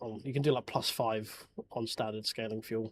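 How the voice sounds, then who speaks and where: A man speaks with a strong English accent. His voice is medium in pitch with ordinary pitch variation. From England. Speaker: sim racing streamer. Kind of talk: casual chat during live sim racing stream. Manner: halting, repeats words.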